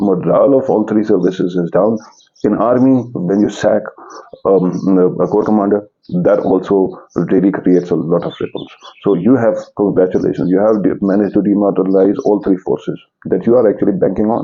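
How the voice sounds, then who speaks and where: A man at a fairly quick pace and fairly low pitch. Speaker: political commentator. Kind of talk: political commentary monologue. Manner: halting.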